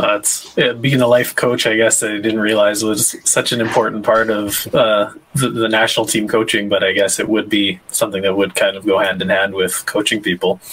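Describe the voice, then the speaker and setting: With a Canadian accent, a man of fairly low pitch talks at a moderate pace with fairly even intonation and hardly any pauses, over noticeable background noise. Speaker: podcast host and lawn bowler. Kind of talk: casual chat. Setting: live stream.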